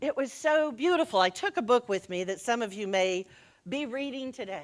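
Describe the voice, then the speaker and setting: Loud and at a moderate pace, a woman with an American accent speaks with very wide pitch swings in a very clean recording over a silent background. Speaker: minister. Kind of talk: sermon.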